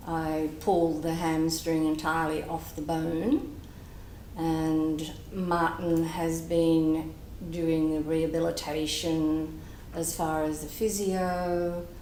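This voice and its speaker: A woman's fairly low voice at a very slow pace, monotone, flat intonation, with noticeable background noise and audible room echo. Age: 60s. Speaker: patient. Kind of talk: testimony.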